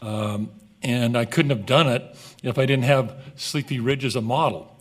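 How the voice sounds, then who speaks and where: A man speaks at a moderate pace in a medium pitch. His pitch varies in an ordinary way, and there is noticeable background noise. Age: 60s. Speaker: golf course business partner. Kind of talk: council meeting presentation. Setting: city council meeting.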